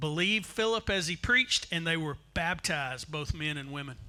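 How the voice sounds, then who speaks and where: A man speaks with music playing in the background. His pitch is high, and it varies in an ordinary way. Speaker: visiting pastor. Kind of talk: sermon. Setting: church, with interpreter. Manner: slow.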